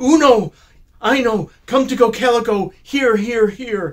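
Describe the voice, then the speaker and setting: The delivery moves at a fairly slow speed. It is a put-on character voice. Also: man, extremely high pitch for a man. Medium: read story.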